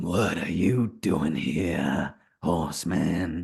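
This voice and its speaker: A man uses a put-on character voice that is raspy and very deep and low. He talks at a very slow pace. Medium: actual play. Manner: cold, mocking, taunting.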